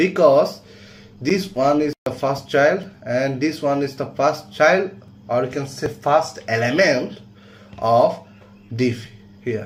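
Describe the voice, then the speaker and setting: A man's fairly high voice at a very slow pace, with long, frequent pauses, ordinary pitch variation and noticeable background noise. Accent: non-native. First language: not English. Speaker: coding teacher. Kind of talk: tutorial.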